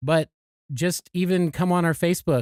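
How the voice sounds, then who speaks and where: On a very clean recording with a silent background, a man's raspy voice comes through dry and close with no echo. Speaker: podcast co-host and producer. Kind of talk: casual chat.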